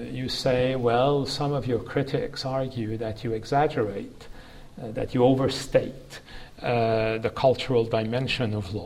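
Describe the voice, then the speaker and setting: Speaking at a fairly slow pace, a man uses an ordinary speaking voice with medium pitch and fairly even intonation. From Canada. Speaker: law professor. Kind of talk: academic interview. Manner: formal.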